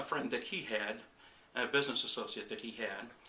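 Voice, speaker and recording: A man's speech comes with audible echo from the room and noticeable noise behind it. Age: 60s. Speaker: chiropractic patient. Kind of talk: testimony. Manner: halting, with fillers.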